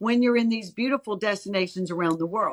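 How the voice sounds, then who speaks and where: A fairly high-pitched woman's animated voice, dry and close with no echo. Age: 60s. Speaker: cruise line executive. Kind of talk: interview.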